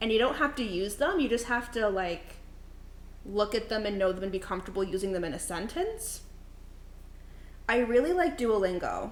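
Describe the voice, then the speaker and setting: A woman with a fairly high voice speaks at a moderate pace with lively intonation. Long, frequent pauses and audible room echo are present. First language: not English (third language). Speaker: streamer. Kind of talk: casual chat. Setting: live stream in a kitchen. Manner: animated.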